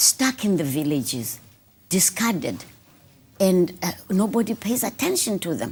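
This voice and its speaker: A woman's medium-pitched voice with vocal fry, very wide pitch swings, a fairly slow pace, and long, frequent pauses, in a very clean recording with a silent background. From South Africa, rural Eastern Cape village. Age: 70s. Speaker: author. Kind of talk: interview. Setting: studio.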